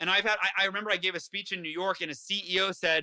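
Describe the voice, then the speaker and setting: A man's raised, projected voice, animated and bright and sharp in tone, with a dry, close sound and no echo. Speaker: author and motivational speaker. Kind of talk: interview. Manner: fast.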